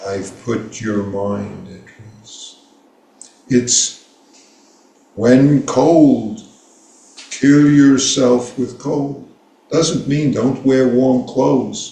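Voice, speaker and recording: A man with an American accent and medium pitch, at a very slow pace with long, frequent pauses, big swings in loudness and ordinary pitch variation, amid noticeable background noise and audible room echo. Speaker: Zen teacher. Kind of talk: dharma talk.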